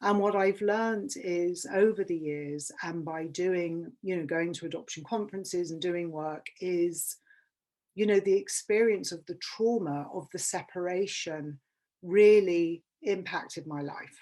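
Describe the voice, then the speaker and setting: Against a quiet background, a woman with a London accent speaks at a fairly slow pace in a fairly low pitch, her dark, mellow tone showing ordinary pitch variation and big swings in loudness. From England. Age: 50s. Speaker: public speaker. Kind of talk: workshop talk.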